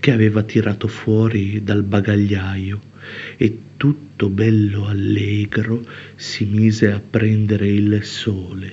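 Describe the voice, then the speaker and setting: A man speaks very slowly in a monotone, flat intonation. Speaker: poet. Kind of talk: poet spoken word, confessional poem.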